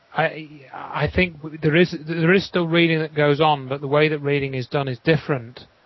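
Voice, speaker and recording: In an English accent, a man with a fairly high voice speaks at a moderate pace with fairly even intonation and hardly any pauses, over noticeable background noise. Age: 40s. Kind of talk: interview discussion. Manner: halting.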